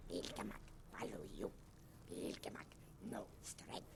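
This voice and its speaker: Someone whispers in a put-on character voice. Loud background noise runs underneath. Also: moderate pace. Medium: video game. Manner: broken, clipped speech.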